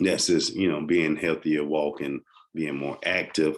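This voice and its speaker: In a Southern US accent, a man speaks very slowly in a very deep, low pitch with a monotone, flat intonation. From US South. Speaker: health podcaster. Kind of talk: informal health talk. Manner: halting, many fillers.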